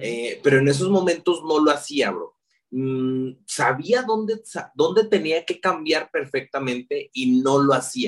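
Fairly high-pitched and speaking with a Mexican accent, a man talks at a fairly slow pace with lively intonation and big swings in loudness. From Mexico, León, Guanajuato. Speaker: digital marketer. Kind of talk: casual interview. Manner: talkative.

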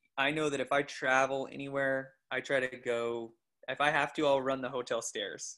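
A man with an American accent speaks at a medium pitch, his bright, sharp tone held in a monotone, flat intonation. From US Northwest, northern Idaho. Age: 30s. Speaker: triathlete and coach. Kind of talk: casual interview.

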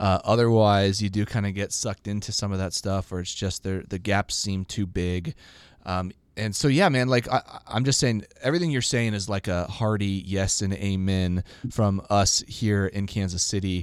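A man with an unremarkable speaking voice talks at a moderate pace with ordinary pitch variation and a fairly low pitch, in a very clean recording with a silent background. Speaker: podcast host. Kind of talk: casual interview conversation.

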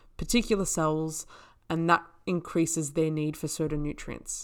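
A woman with an Australian accent speaks at a moderate pace in a fairly low, flat monotone, on a very clean recording with a silent background. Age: 20s. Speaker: naturopath and podcast host. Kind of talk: solo educational podcast. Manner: casual, conversational with fillers.

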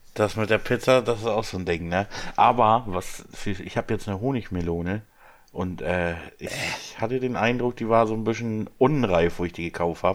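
A man talks at a moderate pace in a fairly low register. His is a plain, everyday voice with ordinary pitch variation. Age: 30s. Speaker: employee. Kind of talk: casual chat.

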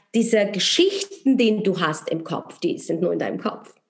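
A woman with a Polish accent speaks at a fairly slow pace and a fairly high pitch. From Poland. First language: Polish (speaking German). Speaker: entrepreneur and network marketer. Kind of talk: interview.

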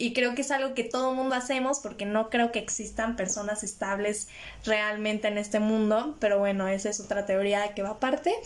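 Over noticeable background noise, a woman speaks at a fairly quick pace, her fairly high voice held to fairly even intonation. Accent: Mexican. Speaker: podcast host. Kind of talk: casual solo monologue on mental health. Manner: occasionally stumbles over words.

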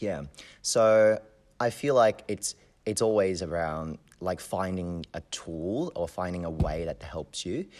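A man in a Hong Kong accent at a very deep, low pitch, a fairly slow pace and ordinary pitch variation, in a very clean recording with a silent background. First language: Cantonese. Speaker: community member and university student. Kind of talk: interview.

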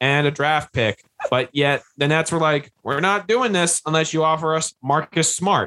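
At a moderate pace, a man speaks with a bright, sharp tone and a fairly high pitch, the sound dry and close with no echo. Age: 20s. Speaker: sports podcast co-host. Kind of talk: casual chat.

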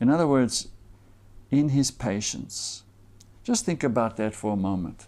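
A man speaks in a dark, mellow tone, leaving long, frequent pauses. The recording is very clean, with a silent background. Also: medium pitch for a man, ordinary pitch variation, fairly slow pace. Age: 40s. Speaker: pastor. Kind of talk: sermon.

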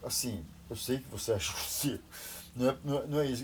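A man talks at a medium pitch and a moderate pace. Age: 60s. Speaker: retired businessman. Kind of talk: interview. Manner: animated.

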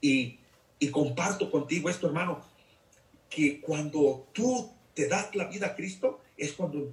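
A man talks slowly, though not extremely so, and his pitch sits fairly high. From Mexico, Jalisco. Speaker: deacon. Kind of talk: testimony.

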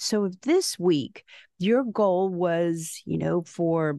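Speaking very slowly in an American accent, a woman has a dark, mellow tone and lively intonation, recorded dry and close with no echo against a quiet background. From South Texas, San Benito; Mexican American. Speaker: school superintendent. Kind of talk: interview. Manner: animated.

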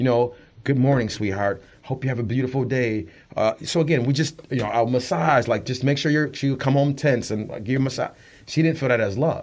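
A man's plain, everyday voice, medium-pitched and fairly quick, with ordinary pitch variation against a quiet background. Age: 40s. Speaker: radio show host and guest. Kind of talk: casual interview.

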